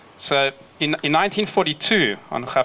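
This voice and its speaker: A man with a South African accent talks over noticeable background noise. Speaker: community organisation representative. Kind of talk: ceremonial speech. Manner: halting.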